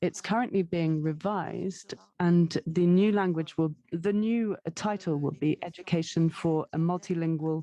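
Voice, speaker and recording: A woman speaks at a fairly slow pace with a fairly low pitch. Her tone is dark and mellow, and her intonation fairly even. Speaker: education policy official presenting. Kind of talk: webinar presentation.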